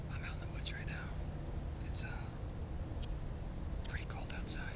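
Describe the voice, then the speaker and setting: The sound is dry with no echo, though loud background noise is present. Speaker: bushcraft ASMR maker. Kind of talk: ASMR whispering outdoors. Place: forest. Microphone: phone near.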